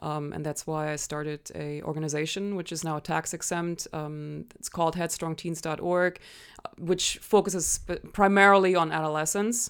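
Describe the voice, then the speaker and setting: A woman with a slight German accent, fairly low in pitch, at a moderate pace with fairly even intonation. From Germany. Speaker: nonprofit founder and martial artist. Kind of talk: interview conversation.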